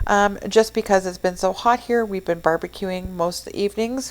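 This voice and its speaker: Medium-pitched female speech at a moderate pace, with ordinary pitch variation and noticeable background noise. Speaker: cooking channel host. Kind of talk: voice-over narration of a cooking tutorial. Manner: casual, with fillers; sometimes tongue-tied. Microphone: new microphone after mic problems.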